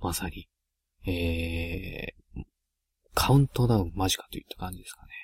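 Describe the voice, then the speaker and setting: Quiet and somewhat breathy, a man with a very deep, low voice speaks at a moderate pace with ordinary pitch variation in a dry, close recording with no echo. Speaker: solo gaming podcaster. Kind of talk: casual solo monologue. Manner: quiet, subdued because of a late-night recording.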